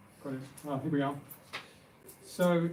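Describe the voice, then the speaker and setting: The man speaks at a moderate pace. There is noticeable background noise. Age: 70s. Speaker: author. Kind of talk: personal testimony; reading aloud.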